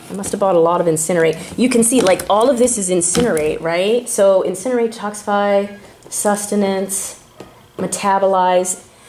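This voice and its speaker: A woman speaks with long, frequent pauses and ordinary pitch variation over noticeable background noise. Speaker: weight loss doctor and YouTuber. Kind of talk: casual vlog with sales pitch. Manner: fast; animated.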